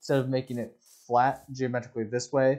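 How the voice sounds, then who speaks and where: A man talks at a medium pitch in a relaxed, dark, mellow tone. The background is quiet. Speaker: Minecraft gameplay creator. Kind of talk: casual gameplay commentary. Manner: slow, relaxed.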